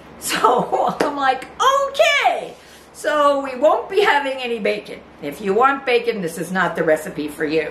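In a room with audible echo and light background noise, a woman speaks at a fairly slow pace in a high voice. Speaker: home cook host. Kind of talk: casual cooking vlog chat. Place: kitchen.

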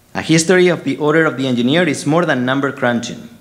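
A fairly high-pitched man with a Spanish accent and ordinary pitch variation. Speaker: engineering professor giving a ceremony speech. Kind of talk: formal speech. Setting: stage. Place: hall.

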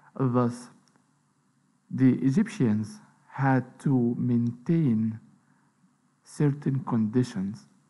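Pausing long and often, a man with a dark, mellow tone speaks at a very slow pace with ordinary pitch variation. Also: medium pitch for a man. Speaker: lecturer. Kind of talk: lecture.

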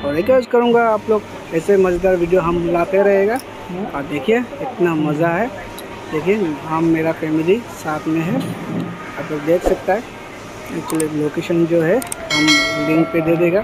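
A man's fairly high voice at a moderate pace, with ordinary pitch variation and clear background noise.

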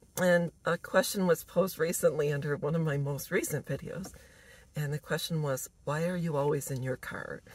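A woman's very deep, low voice at a moderate pace, somewhat breathy, with fairly even intonation and a dry sound with no echo. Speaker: vlogger. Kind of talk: casual vlog chat. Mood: warm, smiling, relaxed. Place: car. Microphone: phone near.

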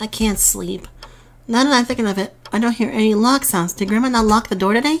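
With ordinary pitch variation, the passage comes across as reading aloud in a natural voice.

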